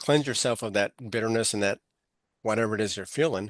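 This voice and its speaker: A man with a Texan accent speaks at a medium pitch over a quiet background. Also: dry, close sound with no echo. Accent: Texan American. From Texas, Amarillo. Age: 60s. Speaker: author and speaker, navy veteran. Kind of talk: podcast interview.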